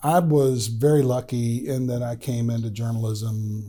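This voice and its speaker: Fairly even intonation in a somewhat breathy male voice. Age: 60s. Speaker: retired political journalist and columnist. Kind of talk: casual interview chat. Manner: halting, many fillers.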